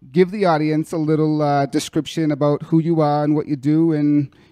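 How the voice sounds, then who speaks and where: A man with a Boston accent talks at a moderate pace in a fairly high voice with a dark, mellow tone. The sound is dry and close with no echo, over a quiet background. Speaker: podcast host. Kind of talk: podcast interview.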